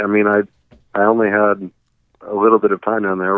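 This man has an American accent and talks at a fairly quick pace. His intonation stays fairly even. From US South (Arkansas and Oklahoma). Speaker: radio station manager. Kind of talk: casual chat interview.

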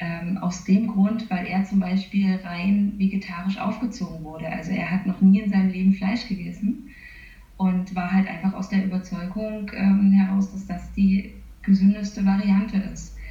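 Over noticeable background noise, a woman speaks at a moderate pace with monotone, flat intonation. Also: medium pitch for a woman. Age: 30s. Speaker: nutritionist working for a vegan catering company. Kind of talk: interview. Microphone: poor interview audio quality.

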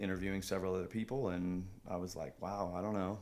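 A man's plain, everyday voice, fairly low in pitch, with fairly even intonation and a fairly quick pace. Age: 30s. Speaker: athletics program coach. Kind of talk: casual chat.

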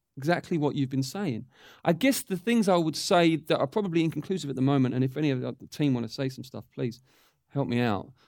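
A man with an English accent talks at a very fast pace with fairly high pitch and lively intonation. The recording is very clean, with a silent background. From England. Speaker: church teacher. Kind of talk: teaching session.

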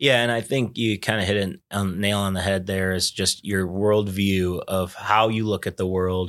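The recording is very clean, with a silent background. A man speaks in a monotone, with flat intonation. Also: moderate pace, hardly any pauses. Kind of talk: casual chat. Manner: loud.

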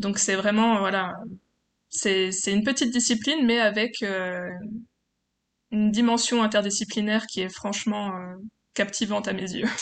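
A woman speaks at a moderate pace and a medium pitch. Her intonation is fairly even, broken by long, frequent pauses. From France, Franche-Comté (Besançon). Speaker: PhD student and French-as-foreign-language teacher. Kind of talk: interview testimony. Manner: hesitant.

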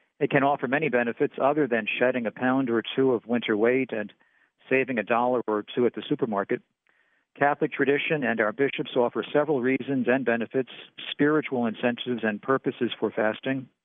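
Delivered very fast, the speech keeps its intonation fairly even. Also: man, medium pitch for a man. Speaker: preacher. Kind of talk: sermon. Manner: formal.

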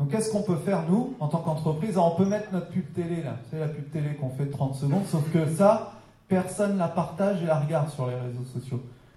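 A man speaks at a fairly quick pace with a high pitch and ordinary pitch variation. The room echo is audible. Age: 30s. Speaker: social media trainer and speaker. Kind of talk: lecture. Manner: casual, hesitant with fillers.

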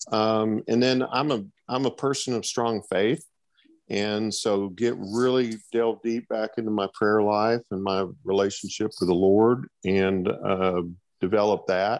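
A normal speaking voice with fairly even intonation over a quiet background. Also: man, fairly low pitch for a man, fairly slow pace. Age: 60s. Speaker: college track and field coach. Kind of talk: interview.

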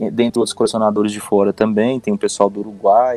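A man is speaking. Music plays in the background. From Goiás, Brazil. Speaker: collector, fan community member. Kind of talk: casual podcast conversation.

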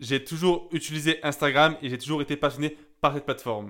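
Recorded very cleanly against a silent background, a man with a normal speaking voice talks at fairly high pitch and a moderate pace, with fairly even intonation. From southern France, Gap (Hautes-Alpes). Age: 20s. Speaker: young entrepreneur. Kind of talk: personal monologue.

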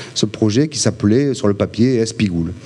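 A man talks at a moderate pace with a medium pitch and lively intonation. Noticeable background noise runs under his voice. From Provence, Haut-Var (southern France). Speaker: film director. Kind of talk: talk to a live audience. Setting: venue with audience. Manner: halting, many repetitions.

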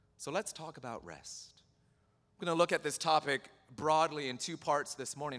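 Using a bright, sharp tone with vocal fry, a man speaks at a moderate pace. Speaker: pastor. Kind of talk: sermon. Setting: church.

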